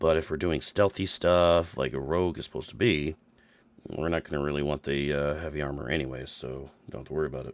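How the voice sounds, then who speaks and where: A man puts on a character voice that is raspy and very deep. He talks very fast with fairly even intonation. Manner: casual, explaining.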